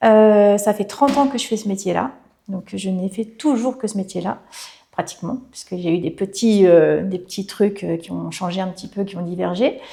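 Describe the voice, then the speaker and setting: Her tone is dark and mellow, at a medium pitch for a woman. She keeps a moderate pace and ordinary pitch variation. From Brittany, France. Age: 40s. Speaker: hairdresser and salon owner. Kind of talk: interview. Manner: hesitant, many fillers.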